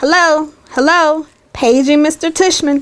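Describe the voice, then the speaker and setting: A woman's put-on character voice, high in pitch, with fairly even intonation and a fairly slow pace. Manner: playful, mocking.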